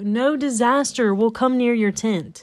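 A woman speaks at a fairly slow pace with a high pitch and ordinary pitch variation. The recording is very clean, with a silent background. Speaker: evangelist podcaster. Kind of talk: devotional podcast monologue. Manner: animated.

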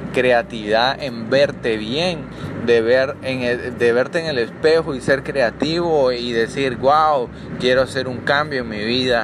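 This man speaks at a fairly slow pace with a medium pitch and fairly even intonation. Noticeable background noise runs behind him. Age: 20s. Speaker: podcast host, medical student. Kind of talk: motivational monologue.

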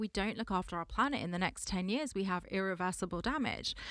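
Over a silent background in a very clean recording, a woman with a London accent talks at a fairly quick pace. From Southwest London. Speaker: space sector entrepreneur. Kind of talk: interview. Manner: animated.

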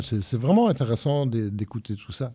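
At a moderate pace, a man with a medium pitch speaks in a dark, mellow, somewhat breathy tone with lively intonation. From Belgium. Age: old. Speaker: retired radio host and music journalist. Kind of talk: casual chat. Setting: youth centre.

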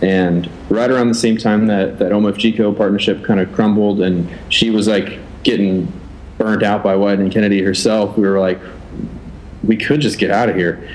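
Noticeable background noise sits behind a man who speaks at a moderate pace in a fairly low pitch, with monotone, flat intonation and very even loudness. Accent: American. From Oregon. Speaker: designer and agency founder. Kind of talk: casual interview. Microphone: built-in laptop mic.

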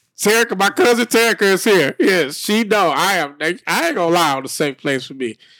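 A man's high, bright and sharp voice with very wide pitch swings at a moderate pace, on a very clean recording with a silent background. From US South, rural west Tennessee. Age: 30s. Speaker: podcast host. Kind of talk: casual chat. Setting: live-streamed video podcast.

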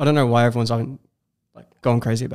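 This man has an Australian accent and a medium pitch. His intonation stays fairly even. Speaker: video creator. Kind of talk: casual chat. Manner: calm, not loud.

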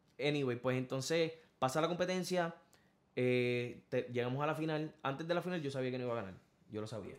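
This man has a plain, everyday voice of medium pitch. He speaks at a fairly quick pace with ordinary pitch variation. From Puerto Rico, Corozal countryside. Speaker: singer. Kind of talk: interview. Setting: studio.

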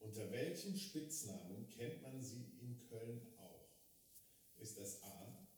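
A man speaks very slowly at a medium pitch, his voice somewhat breathy. His intonation is lively, and the room echo is audible. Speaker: podcast host. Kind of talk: casual chat. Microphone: quieter after mic failure.

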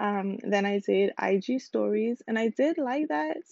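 A woman's dark, mellow tone comes with vocal fry at a fairly slow pace. The sound is dry and close, with no echo. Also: medium pitch for a woman, ordinary pitch variation.

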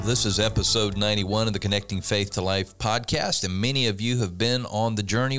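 With music in the background, a man speaks at a fairly quick pace in a fairly low pitch with ordinary pitch variation. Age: 60s. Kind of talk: casual chat.

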